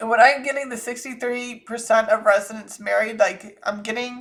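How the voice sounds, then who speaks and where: Pitched fairly high, a woman talks with an American accent. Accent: Southern US, comes out thick when angry. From US South (Georgia, Florida; military brat). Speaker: psychic channeler, channel host. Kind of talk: psychic reading monologue. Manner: casual, rambling.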